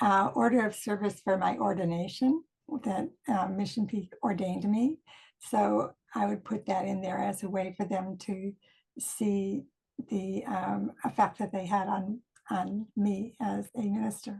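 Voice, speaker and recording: The speaker talks at a fairly slow pace with vocal fry. Pitch varies in an ordinary way. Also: woman, medium pitch for a woman. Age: 70s. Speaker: minister. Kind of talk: recorded video greeting.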